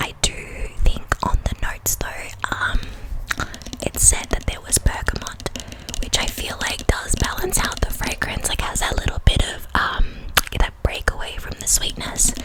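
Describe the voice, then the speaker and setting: A woman whispers at a moderate pace while noticeable background noise carries on behind her. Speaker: ASMR creator. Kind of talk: fragrance review, ASMR-style rambling.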